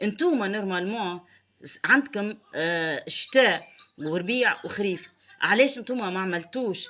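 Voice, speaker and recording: A woman with a Tunisian accent speaks at a fairly slow pace and medium pitch, in an animated tone. Her intonation is lively, and her loudness swings widely. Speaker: political commentator. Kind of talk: online commentary monologue. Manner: halting.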